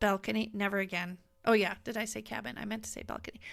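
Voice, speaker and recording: The speech comes at a very fast pace. Music plays in the background. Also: woman, big swings in loudness. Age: 60s. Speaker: podcast co-host. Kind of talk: casual chat.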